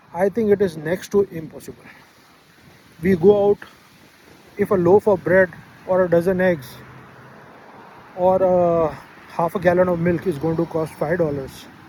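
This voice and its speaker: Pausing often and at length, a man talks in a high pitch with fairly even intonation over noticeable background noise. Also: moderate pace. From Pakistan. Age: 60s. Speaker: travel vlogger. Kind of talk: casual monologue vlog. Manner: hesitant with many fillers.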